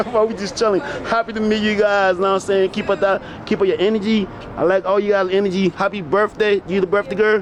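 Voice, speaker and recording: A man talks very fast in a high voice, with background noise clearly noticeable. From Liberia. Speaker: vlogger. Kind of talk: casual chat. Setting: outdoors. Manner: animated.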